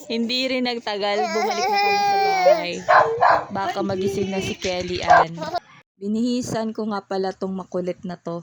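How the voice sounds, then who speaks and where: Lively intonation at a moderate pace. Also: woman, fairly high pitch for a woman. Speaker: vlogger, stay-at-home mom. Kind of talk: vlog voice-over narration. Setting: home, partly outdoors.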